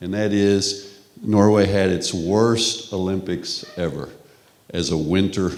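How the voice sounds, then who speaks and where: A man's very deep, low voice in a Texas accent, very slow in pace, with fairly even intonation and audible room echo. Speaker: professor. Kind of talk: lecture.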